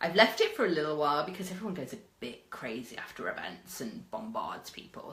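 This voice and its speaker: An animated, fairly quick delivery with a British accent, amid noticeable background noise and audible room echo. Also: woman. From Britain. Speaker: media and PR consultant. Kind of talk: live stream talk. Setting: live video.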